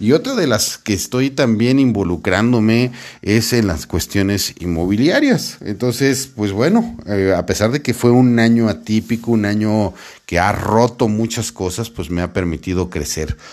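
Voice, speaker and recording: A plain, everyday voice from a man, fairly low-pitched with ordinary pitch variation, on a very clean recording with a silent background. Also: fairly slow pace. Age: 40s. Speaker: sales podcast host and sales coach. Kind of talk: solo podcast monologue. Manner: casual, warm with filler words.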